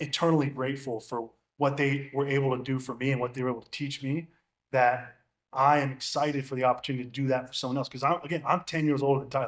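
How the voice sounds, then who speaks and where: A man speaks at a very fast pace in a fairly high voice. His intonation is flat and monotone, while his loudness swings widely. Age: 30s. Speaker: NFL long snapper. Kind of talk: casual chat.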